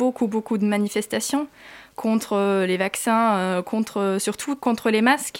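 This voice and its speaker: A woman at a fairly slow pace in a very clean recording with a silent background. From Germany. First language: German (speaking French). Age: 20s. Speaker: student, former au pair. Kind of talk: interview.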